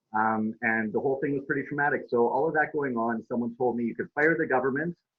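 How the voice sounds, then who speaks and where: Man with a Canadian accent at medium pitch, lively intonation and a very fast pace. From Saskatchewan, Canada. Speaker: activist. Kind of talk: interview.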